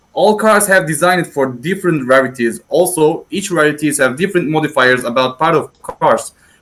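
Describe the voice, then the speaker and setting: A man's lively intonation at a moderate pace. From Turkey. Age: 20s. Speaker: 3D modeler. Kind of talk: prepared presentation. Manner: halting.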